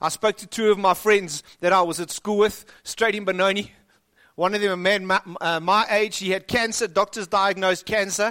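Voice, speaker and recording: A man with a high pitch projects a raised voice at a moderate pace, bright and sharp in tone. His intonation is monotone and flat, and the sound is dry and close with no echo. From South Africa. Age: 40s. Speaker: pastor. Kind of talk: sermon.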